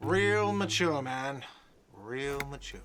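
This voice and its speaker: A man shouting in a whiny, put-on character voice, medium in pitch, with ordinary pitch variation. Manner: shouting, sarcastic.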